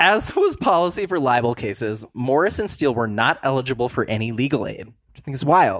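Speaking fairly quickly with hardly any pauses, a man with an American accent and a medium pitch makes very wide pitch swings and big swings in loudness. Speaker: podcast guest. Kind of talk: casual chat.

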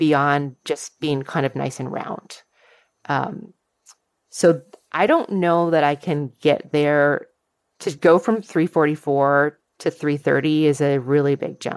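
Very deep and low in pitch, a woman speaks at a very slow pace. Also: very clean recording, silent background. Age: 50s. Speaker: college professor and amateur runner. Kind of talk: casual interview.

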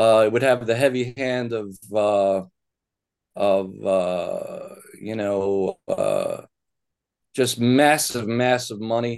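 Talking at a very slow pace with long, frequent pauses, a man uses a medium-pitched voice with ordinary pitch variation. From US, Baltimore. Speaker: author. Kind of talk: interview.

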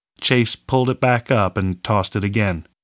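Someone reads in a natural voice, and the pitch moves in an ordinary way.

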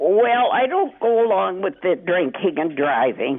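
A woman's voice swings very widely in pitch at a fairly slow pace, with noticeable background noise around it. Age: 80s+. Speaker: radio caller. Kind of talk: call-in talk. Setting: phone call.

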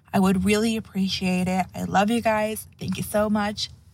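A woman talks at a moderate pace and medium pitch, with ordinary pitch variation. She has a normal speaking voice. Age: 20s. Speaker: listener caller. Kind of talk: voicemail story.

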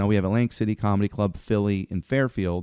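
A man's fairly low-pitched voice with a dark, mellow tone and ordinary pitch variation, heard dry and close with no echo against a quiet background. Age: 40s. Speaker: comedy club owner. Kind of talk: casual chat.

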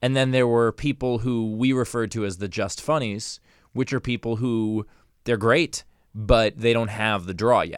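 A man with a plain, everyday voice talks at a medium pitch and a moderate pace. His intonation is fairly even, over a very clean recording with a silent background. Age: 40s. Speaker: podcast host and comedian. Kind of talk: casual interview chat.

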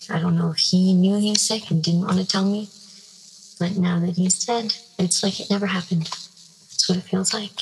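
A woman speaks at a medium pitch with fairly even intonation and very even loudness amid noticeable background noise. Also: moderate pace. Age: 20s. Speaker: anonymous caller sharing a secret. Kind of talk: confessional voicemail. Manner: halting, hesitant.

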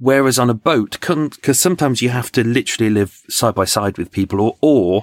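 Speaking with a British accent at a moderate pace, a man uses ordinary pitch variation in a dry, close sound with no echo. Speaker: true crime podcaster and tour guide. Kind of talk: casual interview with crime storytelling. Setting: video call.

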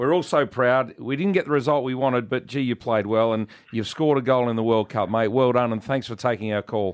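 Talking at a fairly quick pace, a man with an Australian accent shows ordinary pitch variation. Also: medium pitch for a man. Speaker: radio host. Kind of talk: casual banter on a radio show. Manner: jokey.

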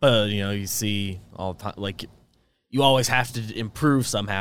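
An ordinary speaking voice from a man, fairly low in pitch, at a moderate pace. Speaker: co-host sports commentator. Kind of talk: casual sports chat, live stream. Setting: live stream.

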